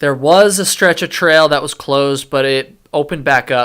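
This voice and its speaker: A man talks with a bright, sharp tone at a fairly high pitch. His pace is fairly slow, with ordinary pitch variation. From Vermont. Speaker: hiking youtuber. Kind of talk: live stream reaction commentary. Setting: live stream at computer. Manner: casual, with many fillers.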